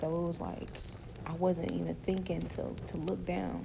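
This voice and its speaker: Her voice carries audible room echo and noticeable background noise. The woman keeps a moderate pace. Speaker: podcast host. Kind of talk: casual monologue. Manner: halting.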